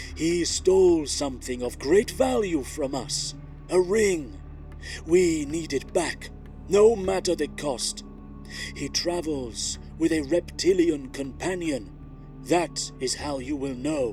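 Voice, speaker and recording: Over clear music in the background, a man puts on a booming character voice with a fairly high pitch, speaking at a fairly slow pace. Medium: read story. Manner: commanding, terse.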